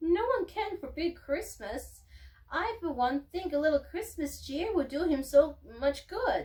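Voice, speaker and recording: Using a put-on character voice, a woman talks squeaky and at an extremely high pitch, with very wide pitch swings and a fairly slow pace. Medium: read story.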